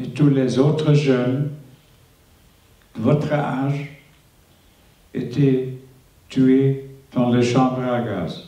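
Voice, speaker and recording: Here a man talks at a very slow pace with a medium pitch. His intonation is monotone and flat. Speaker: Holocaust survivor. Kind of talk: testimony to school students.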